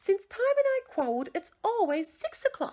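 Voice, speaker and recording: A woman puts on a squeaky character voice at an extremely high pitch, with very wide pitch swings. She keeps a moderate pace, and the sound is dry and close with no echo. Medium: read story.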